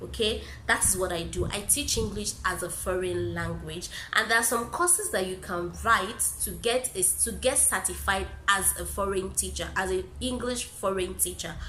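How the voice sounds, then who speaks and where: A woman talks at a moderate pace in a room with audible echo and noticeable background noise. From Nigeria. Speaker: YouTuber and English teacher. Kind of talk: casual vlog Q&A.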